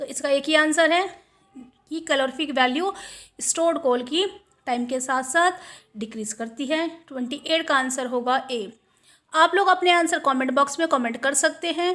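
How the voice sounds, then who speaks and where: On a very clean recording with a silent background, a woman speaks fairly slowly in a high voice with a bright, sharp tone. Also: ordinary pitch variation. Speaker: online exam tutor. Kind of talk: tutorial.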